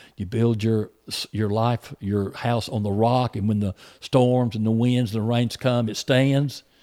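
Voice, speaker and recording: On a very clean recording with a silent background, a man speaks at a medium pitch in a monotone, flat intonation. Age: 60s. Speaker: preacher. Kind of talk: casual chat. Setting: youth camp.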